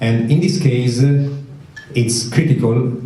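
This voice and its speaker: Amid noticeable background noise and audible room echo, a man with an Italian accent speaks very slowly at a medium pitch with ordinary pitch variation. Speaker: medical researcher. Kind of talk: conference talk. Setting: conference with audience. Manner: halting, many fillers.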